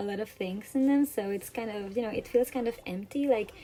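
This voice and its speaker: This is a woman speaking. Her pitch varies in an ordinary way. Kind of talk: gaming reaction voiceover. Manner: casual, chatty.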